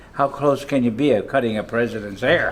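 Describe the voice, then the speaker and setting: Music plays in the background as a man speaks at medium pitch and a moderate pace. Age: 80s+. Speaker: retired barber and hairdresser, Navy veteran. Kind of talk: interview answer.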